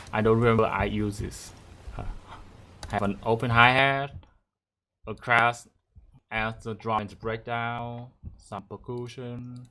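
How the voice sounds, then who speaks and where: In a Vietnamese accent, a man speaks fairly slowly at a medium pitch in a bright, sharp, flat monotone, with long, frequent pauses on a very clean recording with a silent background. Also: big swings in loudness. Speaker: music producer. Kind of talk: tutorial. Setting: livestream.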